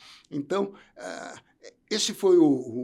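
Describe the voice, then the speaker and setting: This is a man speaking. He goes at a very slow pace. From Brazil, São Paulo. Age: 70s. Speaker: entrepreneur and former tennis coach. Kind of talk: interview conversation. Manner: halting, with repetitions.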